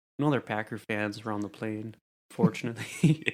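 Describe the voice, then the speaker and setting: In a Wisconsin accent, a man speaks at a moderate pace. His pitch variation is ordinary. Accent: mild Wisconsin. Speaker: podcast co-host. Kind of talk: casual chat.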